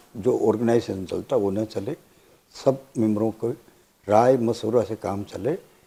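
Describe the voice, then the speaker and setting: This is a man's voice. It has a dark, mellow tone. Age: 60s. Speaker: election candidate. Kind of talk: interview.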